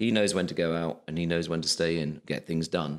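Talking at a fairly quick pace with fairly even intonation, a man with a very deep, low pitch is heard in a very clean recording with a silent background. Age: 50s. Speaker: television executive. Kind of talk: casual chat. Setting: office room.

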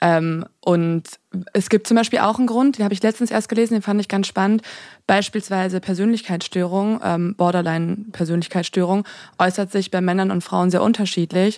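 Speaking at a moderate pace and medium pitch, a woman keeps a fairly even intonation on a very clean recording with a silent background. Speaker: true crime podcaster. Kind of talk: casual chat.

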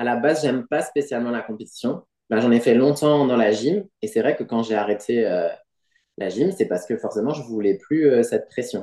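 A man's dark, mellow voice at medium pitch and a moderate pace. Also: ordinary pitch variation. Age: 40s. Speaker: pole dancer and gymnastics coach. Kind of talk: interview.

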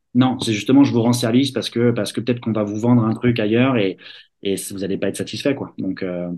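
A man speaking at a fairly quick pace, his pitch medium. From Paris region, France. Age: 30s. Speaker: tennis scholarship agent. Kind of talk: interview. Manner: halting, many fillers.

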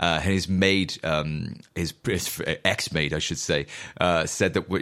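Recorded very cleanly against a silent background, a man speaks in a very deep, low pitch with fairly even intonation. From Wales (Newport). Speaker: musician podcast host. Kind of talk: solo monologue, casual riffing. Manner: casual, profane and rambling.

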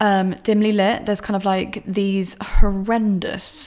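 Talking at a very slow pace, a woman with a southern English accent uses a medium pitch. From southern England, Bournemouth. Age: 30s. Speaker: podcast host, former stripper and author. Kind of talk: casual monologue and reading from own book. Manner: casual, filler-heavy.

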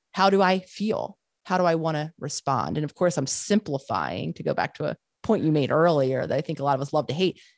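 Dry and close with no echo, a woman's very deep, low voice carries vocal fry. She talks at a fairly quick pace with lively intonation. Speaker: psychologist and author. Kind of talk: interview conversation.

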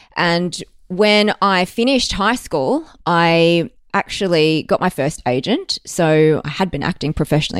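With an Australian accent and lively intonation, a woman speaks at a fairly low pitch on a very clean, dry, close recording with no echo and a silent background. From Australia, Melbourne. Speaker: actor. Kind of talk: casual chat.

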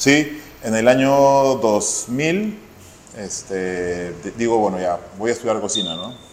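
A man's medium-pitched voice in a Peruvian accent, very slow, with long, frequent pauses, lively intonation, audible room echo and noticeable background noise. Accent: Peruvian Spanish (Lima). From Peru, Lima. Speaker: chef. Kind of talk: interview.

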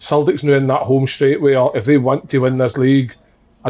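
In a Scottish accent, the speaker moves at a fairly quick pace with monotone, flat intonation. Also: man. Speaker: ex-footballer podcast host. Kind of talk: casual chat.

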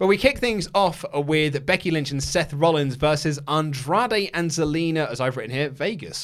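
Barely pausing, a man speaks at a moderate pace in a fairly high pitch with ordinary pitch variation. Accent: English. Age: 30s. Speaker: wrestling podcast host. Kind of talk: casual chat.

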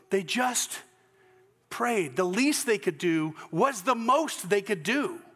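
A man in a Southern US accent, high-pitched and bright, sharp in tone, with very wide pitch swings, very even loudness and a very slow pace. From US South, Georgia. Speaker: pastor. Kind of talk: sermon. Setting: church. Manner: halting.

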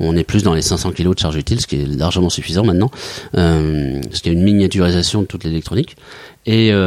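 A man talks at a very fast pace with a very deep, low pitch. His pitch variation is ordinary. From Mayenne, western France. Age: 40s. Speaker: company director, former merchant navy officer. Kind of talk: interview. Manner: halting, many hesitations.

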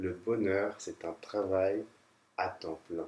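A man's somewhat breathy voice moves at a fairly slow pace. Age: 30s. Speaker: landscape architect. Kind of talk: interview testimony. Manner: hesitant, with many fillers.

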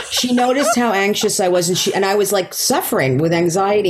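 Noticeable background noise and audible room echo surround a woman whose pitch swings very widely. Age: 50s. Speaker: stand-up comedian. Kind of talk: casual chat.

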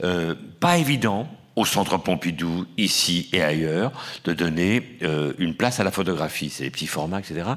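In a very clean recording with a silent background, a man speaks at a fairly slow pace in a very deep, low voice. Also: ordinary pitch variation. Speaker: film historian and exhibition curator. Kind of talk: panel discussion. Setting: auditorium with audience. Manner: halting with many hesitations.

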